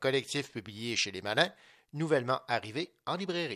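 A man's bright, sharp voice at a medium pitch, with lively intonation and a moderate pace, against a quiet background. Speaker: radio host. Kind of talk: radio book show hosting.

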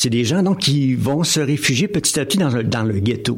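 Here a man speaks with lively intonation. His voice is somewhat breathy. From Quebec, Drummondville. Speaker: novelist and municipal councillor. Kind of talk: radio interview. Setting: studio. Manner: halting, repeats words.

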